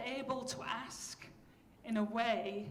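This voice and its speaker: A woman speaks with a Yorkshire accent. Audible room echo surrounds her voice. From Yorkshire, northern England. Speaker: professor. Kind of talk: keynote lecture. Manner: animated.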